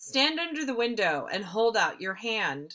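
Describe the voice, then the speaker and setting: A woman uses a put-on character voice at a moderate pace. Her fairly high pitch swings very widely. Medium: read story.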